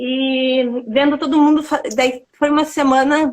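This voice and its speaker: A woman talks fairly slowly in a high pitch, her intonation monotone and flat. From southern Brazil, Rio Grande do Sul interior. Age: 30s. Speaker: dance teacher and studio owner. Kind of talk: interview. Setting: online live stream.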